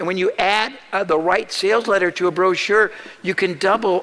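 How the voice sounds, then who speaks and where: Over noticeable background noise, a man with a high pitch speaks at a fairly quick pace with ordinary pitch variation. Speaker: marketing speaker. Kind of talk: seminar talk. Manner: fast.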